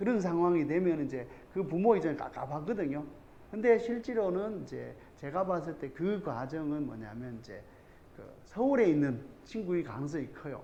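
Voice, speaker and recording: Amid audible room echo, a man with a Gyeongsang accent speaks at a moderate pace in a fairly high pitch, with very wide pitch swings and big swings in loudness. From South Korea, Andong (North Gyeongsang). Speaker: math academy teacher. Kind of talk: parent information session talk. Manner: informal, rambling with filler words.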